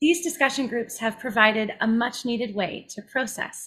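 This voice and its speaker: A woman speaks at a moderate speed, her pitch moving in an ordinary way, with quiet behind her. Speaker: webinar host. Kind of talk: host introduction. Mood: warm, smiling. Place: home room.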